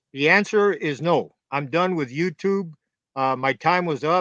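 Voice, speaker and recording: With an American accent, a man talks at a moderate pace in a bright, sharp tone with ordinary pitch variation, the sound dry and close with no echo against a quiet background. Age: 70s. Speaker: former gang member. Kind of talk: live interview Q&A. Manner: hesitant, many fillers.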